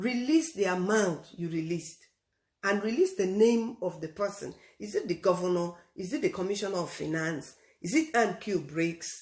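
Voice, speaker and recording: At a moderate pace, a woman speaks at a medium pitch, somewhat breathy, with lively intonation. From Nigeria, Rivers State. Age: 60s. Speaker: radio host. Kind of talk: radio commentary. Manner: emphatic.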